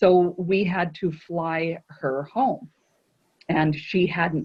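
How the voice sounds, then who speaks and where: This woman speaks with a fairly low pitch and fairly even intonation. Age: 60s. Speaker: cruise line sales director. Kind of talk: casual chat.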